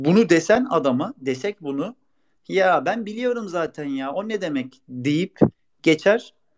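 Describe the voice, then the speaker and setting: A man's high-pitched voice with lively intonation. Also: dry, close sound with no echo. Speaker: former footballer and youth coach. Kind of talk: interview. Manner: hesitant with many fillers.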